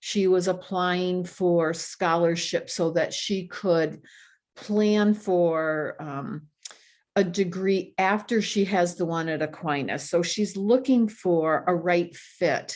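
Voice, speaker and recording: Over a quiet background, a woman with an American accent speaks at a very slow pace and a medium pitch. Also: fairly even intonation. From Michigan (Grand Rapids). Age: 60s. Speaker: retired speech pathologist. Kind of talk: podcast interview.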